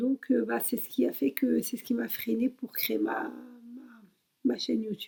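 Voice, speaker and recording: Speaking at a fairly slow pace, a woman leaves long, frequent pauses and shows big swings in loudness. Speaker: YouTuber. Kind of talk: personal introduction vlog. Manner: halting, many fillers.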